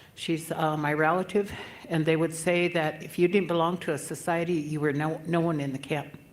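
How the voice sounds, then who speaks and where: The voice holds a monotone, flat intonation at a moderate pace. Audible room echo surrounds it. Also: woman. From Yankton, South Dakota (Dakota reservation). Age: 70s. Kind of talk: conference speech.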